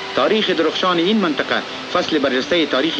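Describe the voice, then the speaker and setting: The voice moves at a very fast pace over noticeable background noise. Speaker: newsreel narrator. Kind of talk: newsreel narration. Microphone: old recording.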